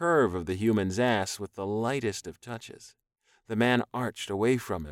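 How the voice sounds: The clip features a natural reading voice with ordinary pitch variation and a quiet background.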